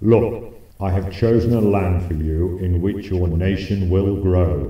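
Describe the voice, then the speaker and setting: In a cartoonish character voice, a man speaks at a fairly slow pace with a very deep, low pitch and a slight echo. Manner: grandiose, easily irritated.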